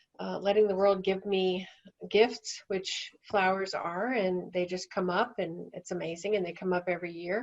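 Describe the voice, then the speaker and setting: Monotone, flat intonation at a moderate pace. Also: woman, medium pitch for a woman. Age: 60s. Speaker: end-of-life doula. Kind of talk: webinar presentation. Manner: halting.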